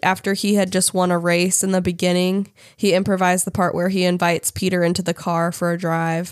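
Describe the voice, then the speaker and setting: A woman is speaking. Her pitch is medium. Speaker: podcast co-host. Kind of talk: casual chat.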